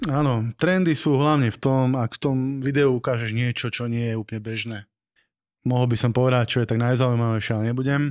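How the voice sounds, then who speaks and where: The background is quiet as a man talks very fast. His intonation stays fairly even. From Slovakia, Nové Zámky; Slovakia. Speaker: wedding videographer and teacher; teacher. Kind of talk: casual chat. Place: studio. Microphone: studio mic.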